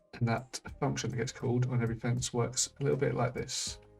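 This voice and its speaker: A man speaks quietly at a moderate pace and medium pitch while music plays in the background. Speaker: indie game developer. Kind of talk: screen-recorded tutorial narration.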